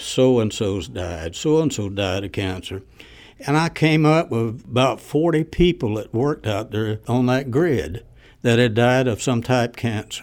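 A man's medium-pitched voice in a Southern US accent, fairly slow, with lively intonation, on a very clean recording with a silent background. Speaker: former civilian range worker. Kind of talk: interview.

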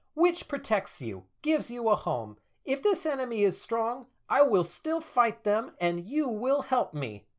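On a very clean recording with a silent background, a man does a put-on character voice at an extremely high pitch and a moderate pace. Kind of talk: fairy-tale storytelling. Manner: eager, insistent, plucky.

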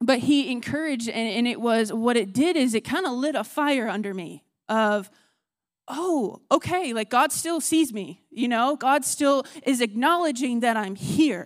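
On a very clean recording with a silent background, a woman with an American accent speaks at a high pitch, fairly slowly and with lively intonation. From Texas.

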